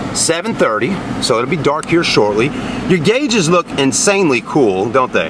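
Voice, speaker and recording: A fairly slow pace amid noticeable background noise. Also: man. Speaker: car sales reviewer. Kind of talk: casual vlog chat. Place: car.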